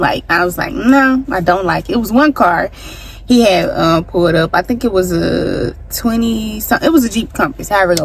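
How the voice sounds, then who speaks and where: Amid noticeable background noise, a woman at medium pitch talks at a moderate pace in an animated tone with lively intonation. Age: 20s. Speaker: vlogger. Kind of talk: storytime vlog.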